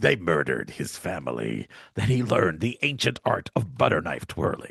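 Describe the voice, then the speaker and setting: In a put-on character voice with very wide pitch swings, the speaker goes at a moderate pace, the sound dry and close with no echo. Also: man, very deep, low pitch for a man. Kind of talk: trailer-style narration. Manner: dramatic, gritty.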